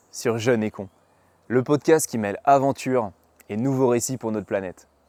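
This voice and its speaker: On a very clean recording with a silent background and a dry, close sound with no echo, a man with a dark, mellow tone and medium pitch speaks at a moderate pace with ordinary pitch variation. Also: long, frequent pauses. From western France, Mayenne. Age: 20s. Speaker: podcast host, traveler. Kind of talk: podcast monologue. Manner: halting, many hesitations.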